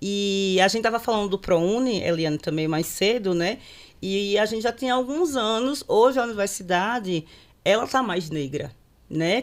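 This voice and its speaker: This woman speaks at a medium pitch with ordinary pitch variation. The recording is very clean, with a silent background. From northeastern Brazil, Aracaju (Sergipe). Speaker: court social worker and panel moderator. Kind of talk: panel discussion, personal storytelling. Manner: conversational, frequent fillers.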